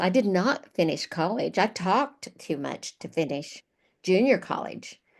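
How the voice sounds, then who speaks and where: Against a quiet background, a woman talks at a fairly slow pace and a medium pitch, her voice making very wide pitch swings. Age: 70s. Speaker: retired national sales director. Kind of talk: interview. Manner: chatty, talkative.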